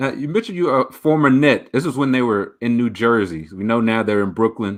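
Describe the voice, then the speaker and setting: This is an ordinary speaking voice with an American accent and ordinary pitch variation. The pace is fairly quick. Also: man, medium pitch for a man. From Dallas, Texas. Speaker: podcast host. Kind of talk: interview.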